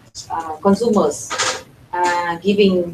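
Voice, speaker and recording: A woman with a Vietnamese accent and a fairly low pitch speaks very slowly with fairly even intonation over noticeable background noise. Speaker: NGO representative, panelist. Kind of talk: panel discussion. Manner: halting, many fillers and repetitions.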